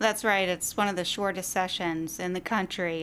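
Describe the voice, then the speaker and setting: Speaking at a moderate pace, a woman with an American accent has a fairly low pitch in a very clean recording with a silent background. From Virginia. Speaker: environmental advocate, epidemiologist. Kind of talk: interview.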